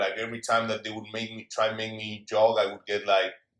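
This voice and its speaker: A man with a Spanish accent. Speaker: former pro rugby player, entrepreneur. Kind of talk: casual interview chat.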